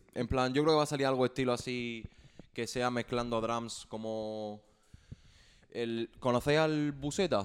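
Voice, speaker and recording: Here is a man with a plain, everyday voice at a medium pitch. He keeps a moderate pace and fairly even intonation. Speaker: musician. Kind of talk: casual chat.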